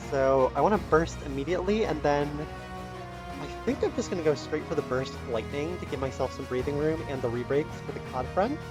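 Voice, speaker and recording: A man's fairly quick speech is heard over background music. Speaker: mobile game commentator. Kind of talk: gameplay commentary.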